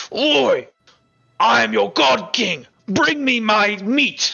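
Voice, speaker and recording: A man's put-on character voice, pitched high and delivered very slowly. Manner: demanding, bossy.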